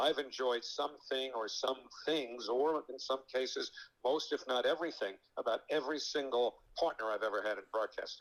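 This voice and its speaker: An unremarkable speaking voice from a man, medium in pitch, with ordinary pitch variation at a moderate pace. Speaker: radio baseball play-by-play broadcaster. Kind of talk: interview answer. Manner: conversational, fluent, somewhat rambling with fillers.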